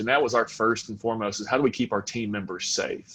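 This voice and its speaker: A man's monotone, flat delivery against a quiet background. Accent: Southern US. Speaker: fuel retail executive. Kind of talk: panel discussion.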